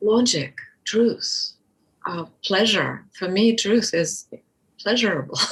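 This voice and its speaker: Speech in a Russian accent comes at a very slow pace with long, frequent pauses. The pitch variation is ordinary. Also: woman, medium pitch for a woman. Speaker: birth educator. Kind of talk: interview.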